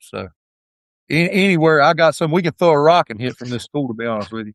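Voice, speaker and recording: With an Appalachian accent, a man talks at a very fast pace and a fairly high pitch, with lively intonation and big swings in loudness. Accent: Appalachian twang. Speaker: high school football head coach. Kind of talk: podcast interview. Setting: at the school.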